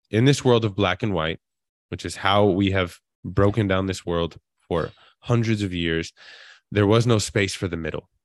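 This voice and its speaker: A man's fairly low voice at a moderate pace, with ordinary pitch variation and long, frequent pauses, dry and close with no echo. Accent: American. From Queens, New York. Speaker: actor and author. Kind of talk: interview. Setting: live online event.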